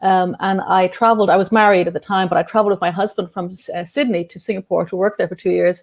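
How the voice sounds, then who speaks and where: A woman with an Irish accent, medium-pitched, fairly even in intonation, at a very fast pace. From Ireland. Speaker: journalist and activist. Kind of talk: interview. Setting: video call.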